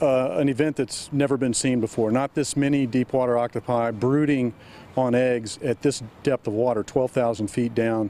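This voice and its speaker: A man speaks at a moderate pace with fairly even intonation and very even loudness. The sound is dry, with no echo. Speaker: interviewee. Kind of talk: interview answer. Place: waterside.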